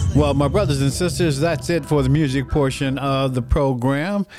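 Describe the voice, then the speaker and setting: An ordinary speaking voice from a man, pitched fairly high, at a moderate pace. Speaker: radio host. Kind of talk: radio dj patter. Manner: warm, upbeat, preacherly; smooth, rhythmic, ad-read delivery.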